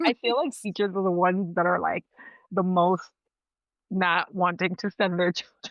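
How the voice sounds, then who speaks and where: At a moderate pace and medium pitch, a woman speaks with fairly even intonation and long, frequent pauses. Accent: Spanish. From Dominican heritage. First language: Spanish. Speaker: cycle alignment mentor and nurse. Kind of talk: podcast interview. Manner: loud.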